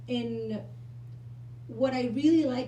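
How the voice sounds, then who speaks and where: A woman with a Mexican accent at a fairly slow pace, amid noticeable background noise and audible room echo. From Mexico. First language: Spanish. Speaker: actress. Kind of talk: event interview. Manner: halting, many fillers and repeats.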